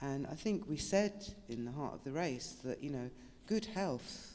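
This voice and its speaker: British-accented woman with a very deep, low pitch, very wide pitch swings and a moderate pace. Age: 70s. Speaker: author and activist. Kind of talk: panel discussion.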